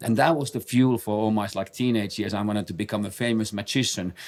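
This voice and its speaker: A man with a Finnish accent talks at a very fast pace with fairly even intonation. The recording is very clean, with a silent background. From Finland. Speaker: base jumper and podcast co-host. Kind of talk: casual chat. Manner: halting, many fillers and repetitions.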